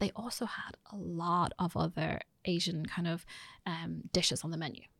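Fairly low female voice with a Dublin accent and vocal fry, moderate pace, dry and close sound with no echo, very clean recording and silent background. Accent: Irish (Dublin). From Ireland. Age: 40s. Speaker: business executive. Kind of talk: interview. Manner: halting.

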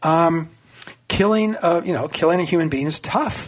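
Here is a man with an unremarkable speaking voice and a fairly high pitch. He speaks at a moderate pace with ordinary pitch variation. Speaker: political cartoonist. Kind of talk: radio interview. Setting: phone call.

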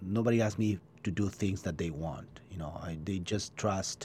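Speaking with an Argentine accent, a man uses ordinary pitch variation. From Argentina. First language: Spanish. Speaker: chef. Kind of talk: interview. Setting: studio. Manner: halting.

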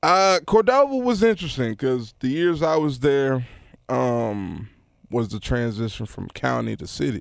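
A man with a Memphis accent, medium in pitch, fairly slow, with very wide pitch swings. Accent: Southern US, Memphis. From Memphis, Tennessee. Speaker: rapper and producer. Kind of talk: casual podcast interview.

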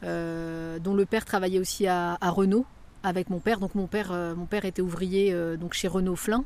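At a moderate pace, a woman speaks at medium pitch with fairly even intonation in a very clean recording with a silent background. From France, Évreux (Normandy). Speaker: author and theatre director. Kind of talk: interview. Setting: on location outdoors in neighbourhood. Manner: halting.

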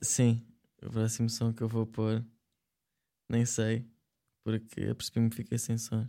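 A man with a European Portuguese accent speaks in a dark, mellow tone at a medium pitch, flat and monotone, with long, frequent pauses in a very clean recording over a silent background. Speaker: online radio show co-host. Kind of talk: casual chat.

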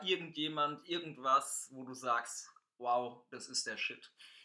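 A man talks very slowly in a bright, sharp tone. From Palatinate (Pfalz), Germany. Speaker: podcast host. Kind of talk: casual chat. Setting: private apartment.

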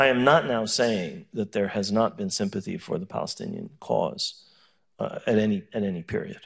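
Speaking at a moderate pace with an American accent, a man is heard on a very clean recording with a silent background. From US, New York. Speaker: professor. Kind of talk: panel discussion. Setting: stage with audience.

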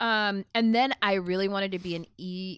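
Using a plain, everyday voice, a woman with an American accent talks at a moderate pace with ordinary pitch variation. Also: very clean recording, silent background. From Mesquite, Texas. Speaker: anti-racism activist. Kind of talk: casual chat.

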